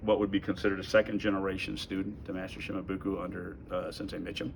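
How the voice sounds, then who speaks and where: A man's fairly low-pitched voice with vocal fry. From Japan. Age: 60s. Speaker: karate grand master, martial arts instructor. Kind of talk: oral history interview answer. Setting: dojo.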